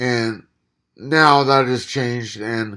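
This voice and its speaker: Very slowly, a man talks with fairly even intonation. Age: 30s. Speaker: vlogger recovering from a stroke. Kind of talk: casual vlog monologue. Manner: halting, stuttering, loses train of thought.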